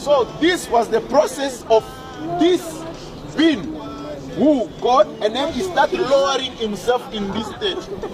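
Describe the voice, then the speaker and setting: At a very slow pace over music in the background, a man speaks with an extremely high pitch and very wide pitch swings. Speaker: preacher giving a teaching. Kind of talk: sermon / religious teaching.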